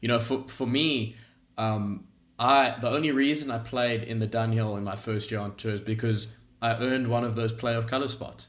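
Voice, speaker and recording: With audible room echo, a man talks at a moderate pace and medium pitch, his intonation fairly even. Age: 20s. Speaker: professional golfer. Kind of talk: podcast interview.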